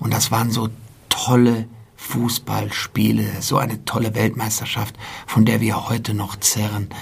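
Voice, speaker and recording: Amid noticeable background noise, a man of medium pitch speaks at a fairly slow pace with monotone, flat intonation. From Germany, Frankfurt. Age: 40s. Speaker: sports club president. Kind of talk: interview.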